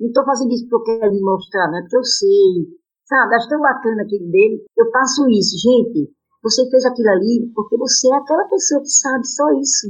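A woman talks at a fairly quick pace in a high pitch with lively intonation. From Brazil, Maceió, Alagoas. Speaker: amateur tennis player. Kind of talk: interview. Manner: animated.

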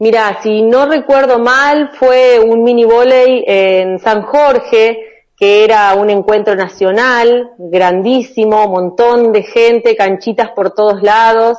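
Intonation stays fairly even as a woman talks. Her pace is very slow. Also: fairly high pitch for a woman. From Argentina, Chaco and Santa Fe province. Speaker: volleyball player. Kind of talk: interview. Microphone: connection dropped during call.

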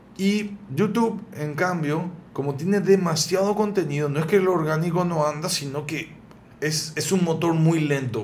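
A man with a fairly high voice at a fairly slow pace, amid audible room echo. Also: ordinary pitch variation. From Paraguay, raised there after early childhood in Buenos Aires. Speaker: cook and video creator. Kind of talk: casual interview.

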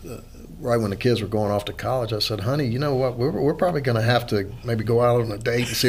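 Over noticeable background noise, a man with an American accent talks at a medium pitch with fairly even intonation. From Louisiana. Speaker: real estate lawyer and investor. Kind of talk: casual chat.

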